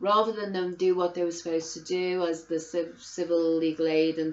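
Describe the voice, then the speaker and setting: This woman has a Liverpool accent. Her pitch is fairly low. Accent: Scouse. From Liverpool, England. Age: 50s. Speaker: vlogger. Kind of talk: angry personal testimony. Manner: animated; halting.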